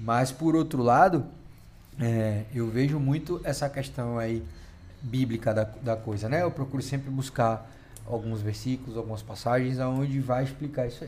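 A man's somewhat breathy voice at a medium pitch. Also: ordinary pitch variation, moderate pace. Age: 30s. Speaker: podcast co-host. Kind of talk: casual chat.

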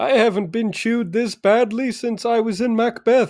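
A man uses a put-on character voice at an extremely high pitch. He talks at a moderate pace. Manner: silly.

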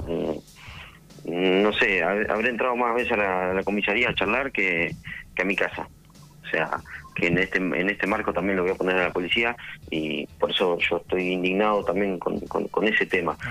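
A man's very deep, low voice at a moderate pace, with fairly even intonation, very even loudness and noticeable background noise. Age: 20s. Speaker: nightclub manager. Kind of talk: radio interview.

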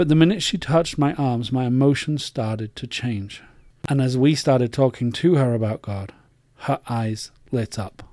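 Over a silent background in a very clean recording, a man speaks with an English accent. His medium-pitched voice has a dark, mellow tone and ordinary pitch variation. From England. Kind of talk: personal faith monologue.

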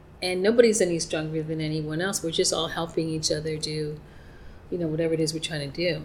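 A woman's very deep, low voice at a very fast pace, with an American accent, audible room echo and noticeable background noise. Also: fairly even intonation. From New York. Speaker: psychic and life coach. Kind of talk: interview. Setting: in person.

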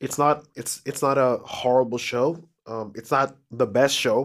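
On a very clean recording with a silent background, a man talks fairly slowly at medium pitch in an ordinary speaking voice. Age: 30s. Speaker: podcast co-host. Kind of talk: casual chat.

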